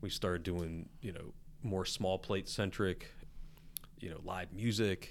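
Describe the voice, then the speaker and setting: With an American accent, a man with a very deep, low voice talks at a fairly slow pace, fairly even in intonation, leaving long, frequent pauses. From West Virginia, Charleston. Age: 40s. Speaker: chef and restaurant owner. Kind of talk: casual chat.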